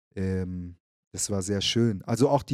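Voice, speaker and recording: A man talks at a fairly slow pace. His pitch is fairly low and his intonation fairly even. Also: very clean recording, silent background. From Frankfurt am Main, Germany, then Munich. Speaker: activist and rapper. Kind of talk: casual interview. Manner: hesitant, many fillers.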